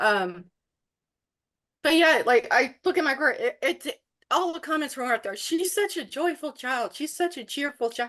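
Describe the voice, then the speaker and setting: Against a quiet background, a woman with a high pitch and a bright, sharp tone talks at a moderate pace with very wide pitch swings. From Canada, Ontario. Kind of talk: casual chat.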